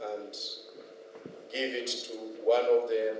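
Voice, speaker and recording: A man at a very slow pace, with audible room echo and noticeable background noise. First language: French. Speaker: invited speaker. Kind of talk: informal presentation. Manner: halting, many fillers and restarts.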